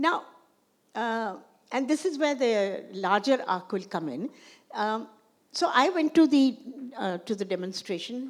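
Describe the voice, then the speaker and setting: A woman speaks at high pitch with very wide pitch swings. Her pace is fairly slow, broken by long, frequent pauses. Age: 80s+. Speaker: filmmaker and feminist historian. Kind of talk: conversation with audience. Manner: halting, many restarts.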